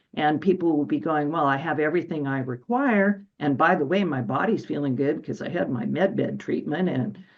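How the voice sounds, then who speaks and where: Her voice sits very deep and low, carrying vocal fry, and she talks at a moderate pace with ordinary pitch variation. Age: 60s. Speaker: medical intuitive and energy healer. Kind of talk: casual chat. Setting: radio show. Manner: halting.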